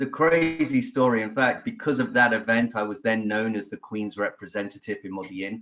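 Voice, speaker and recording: Against a quiet background, a man at medium pitch talks at a fairly quick pace with hardly any pauses and ordinary pitch variation. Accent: British. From England. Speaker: podcast guest, royal family enthusiast. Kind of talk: casual chat.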